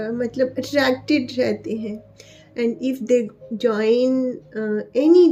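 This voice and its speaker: The words come very slowly, and background noise can clearly be heard. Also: woman. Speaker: tarot reader. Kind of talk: tarot reading video. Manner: hesitant, frequent fillers.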